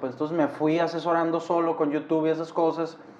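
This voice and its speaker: Man's voice over noticeable background noise. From Hermosillo, Sonora, northern Mexico. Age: 20s. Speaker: concert photographer and streamer. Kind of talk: casual chat.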